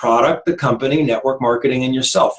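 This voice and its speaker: This man's voice sits at a fairly high pitch and is somewhat breathy. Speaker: network marketing team leader. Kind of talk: training presentation. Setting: recorded online team meeting. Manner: fast.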